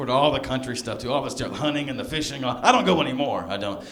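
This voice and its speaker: A man with a slight Southern US accent talks at a fairly quick pace with ordinary pitch variation, amid noticeable background noise and audible room echo. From US South, Alabama (south of Birmingham). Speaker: stand-up comedian. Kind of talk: stand-up.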